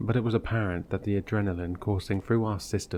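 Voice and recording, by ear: Someone is reading aloud. The voice sounds natural.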